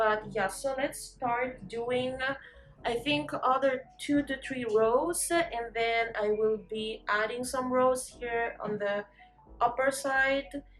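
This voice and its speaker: A woman's high voice with ordinary pitch variation, at a very slow pace over background music. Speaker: crochet YouTuber. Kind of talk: casual tutorial vlog. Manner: hesitant, many fillers.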